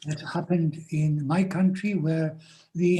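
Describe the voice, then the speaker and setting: His voice is fairly high for a man, with a dark, mellow tone and a flat, monotone delivery. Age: 80s+. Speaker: Vedic scholar. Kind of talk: Q&A answers in online seminar. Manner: hesitant, many fillers.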